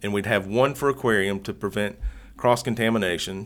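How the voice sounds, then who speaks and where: A man with an Appalachian accent speaks at a fairly low pitch with ordinary pitch variation. The recording is very clean, with a silent background. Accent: Southern Appalachian American. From Southwest Virginia / East Tennessee, Southern Appalachians. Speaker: YouTuber and dart frog hobbyist. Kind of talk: casual interview. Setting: hotel room.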